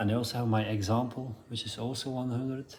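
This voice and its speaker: With a Dutch accent, a man speaks at a moderate pace in a medium pitch with fairly even intonation over noticeable background noise. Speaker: motorcycle builder. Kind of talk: DIY tutorial talk to camera. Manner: hesitant, casual.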